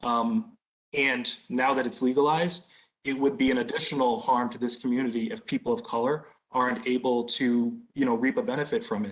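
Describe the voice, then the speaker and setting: Speaking with an American accent in a normal speaking voice, a man uses lively intonation at a medium pitch and a fairly quick pace. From Boston. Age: 30s. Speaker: business applicant. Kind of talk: community Q&A.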